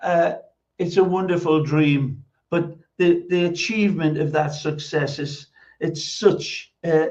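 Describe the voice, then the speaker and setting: With a Geordie accent, a man speaks at a fairly slow pace, his pitch fairly high and his intonation fairly even. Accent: Geordie, Newcastle. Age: 70s. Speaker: former footballer, football pundit. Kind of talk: podcast interview.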